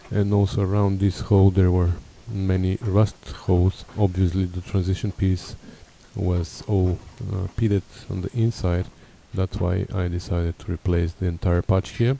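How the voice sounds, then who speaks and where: In a Bulgarian accent, a man speaks at a very deep, low pitch. His intonation is monotone and flat, and his pace moderate. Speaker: car restorer. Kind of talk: tutorial; voiceover narration.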